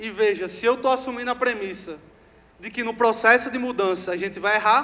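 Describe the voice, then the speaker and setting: Over noticeable background noise, a high-pitched man speaks in a raised, projected voice with an animated tone and ordinary pitch variation. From Rio Grande do Norte, Brazil. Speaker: customer success executive, speaker. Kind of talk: conference talk. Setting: stage with audience.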